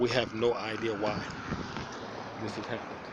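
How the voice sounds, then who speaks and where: Speaking at a fairly quick pace with an American accent, a man is heard with audible room echo and noticeable background noise. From New York City (Manhattan, South Bronx). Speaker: homeless vlogger. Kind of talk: personal video diary. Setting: outdoors. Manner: halting, repetitive.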